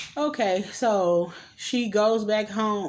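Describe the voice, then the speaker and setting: A woman at medium pitch with ordinary pitch variation and an ordinary speaking voice. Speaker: vlogger reviewing movies. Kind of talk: casual movie recap.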